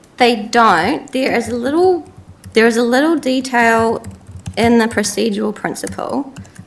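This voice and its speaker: In a New Zealand accent, a woman talks at a fairly high pitch and a moderate pace with ordinary pitch variation. Noticeable background noise sits behind her. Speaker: council staff presenter. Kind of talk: briefing presentation.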